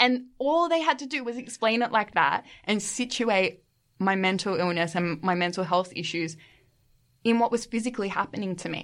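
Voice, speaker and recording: Speaking at a moderate pace with an Australian accent, the voice has lively intonation over a quiet background. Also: woman. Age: 20s. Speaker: podcast guest, master's student. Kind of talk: casual chat.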